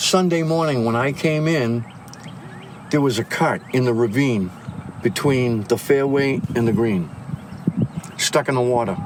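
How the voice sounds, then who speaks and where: Over noticeable background noise, a man speaks at a fairly slow pace with long, frequent pauses, a medium pitch, ordinary pitch variation and very even loudness. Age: 70s. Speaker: golf course marshal. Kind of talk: casual chat. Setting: outdoors on a golf course.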